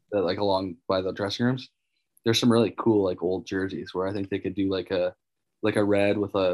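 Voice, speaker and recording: This man has a fairly low voice and a Canadian accent. He speaks fairly quickly in a flat monotone. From Manitoba, Canada. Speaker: professional hockey player. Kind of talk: interview.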